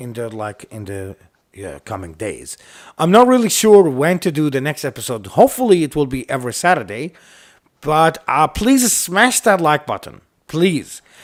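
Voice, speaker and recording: Very wide pitch swings and big swings in loudness on a very clean recording with a silent background. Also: man, fairly high pitch for a man, moderate pace. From Iraq. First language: Arabic. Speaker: YouTube host. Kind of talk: casual podcast chat. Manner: halting, with many fillers.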